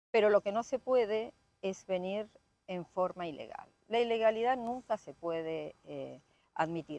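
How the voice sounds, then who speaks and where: A woman with an Argentine accent and a medium pitch talks at a fairly slow pace with lively intonation, the sound dry and close with no echo. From Argentina. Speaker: local politician and doctor. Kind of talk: interview.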